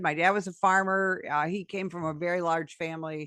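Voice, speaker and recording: Against a quiet background, a woman with an American accent speaks in a bright, sharp tone. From US Midwest, rural northern Illinois. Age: 60s. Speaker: retired police sergeant. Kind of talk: interview. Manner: halting, many fillers. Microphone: good podcast microphone.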